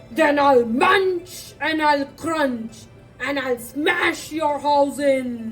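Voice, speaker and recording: Over clear music in the background, a woman uses a put-on character voice at a high pitch and a very slow pace. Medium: read story. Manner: growly, menacing.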